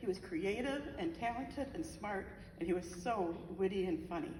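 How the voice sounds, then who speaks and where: A woman's medium-pitched voice amid audible room echo and noticeable background noise. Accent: American. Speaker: bereaved mother. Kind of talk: memorial speech. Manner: fast.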